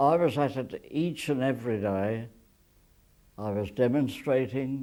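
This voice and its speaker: The tone is dark and mellow, with ordinary pitch variation. The delivery moves at a very slow pace. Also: man. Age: 80s+. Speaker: war veteran. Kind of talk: interview answer.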